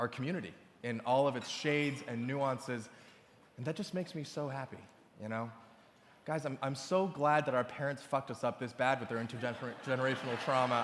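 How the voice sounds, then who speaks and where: A man with a plain, everyday voice speaks at a fairly quick pace and medium pitch, with ordinary pitch variation. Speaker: awards show host. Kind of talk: stand-up style comedic opening monologue to a live audience. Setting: live gala event in front of a crowd. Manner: comedic, confident.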